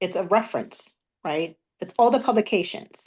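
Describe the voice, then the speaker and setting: This is a woman with a fairly high voice. Her pitch varies in an ordinary way. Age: 40s. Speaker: former Jehovah's Witness abuse survivor. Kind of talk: interview testimony. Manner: halting.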